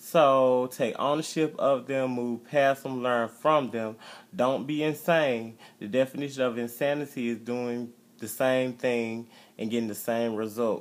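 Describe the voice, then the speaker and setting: Talking at a fairly slow pace, a man holds a medium pitch with fairly even intonation. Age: 20s. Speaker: vlogger and restaurant manager. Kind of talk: motivational talk; casual video blog monologue. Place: home room. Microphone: phone near.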